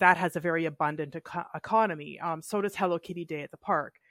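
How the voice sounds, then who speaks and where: A woman with a Canadian accent and an unremarkable speaking voice speaks at a fairly quick pace and fairly low pitch, in a very clean recording with a silent background and a dry, close sound with no echo. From northern British Columbia, Canada. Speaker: board game designer. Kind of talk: casual chat.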